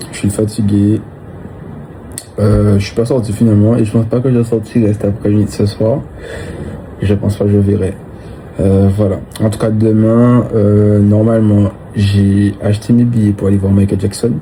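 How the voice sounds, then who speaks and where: Against noticeable background noise, a man with a fairly low pitch speaks at a moderate pace in a monotone, flat intonation, with long, frequent pauses. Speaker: vlogger. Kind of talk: casual vlog talk to camera. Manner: low energy, hesitant with many fillers.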